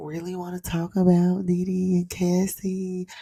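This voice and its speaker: Her tone is dark and mellow, somewhat breathy, at a fairly low pitch. The woman speaks at a very slow pace. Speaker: YouTuber and blogger. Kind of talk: livestream commentary. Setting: livestream. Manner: low-voiced.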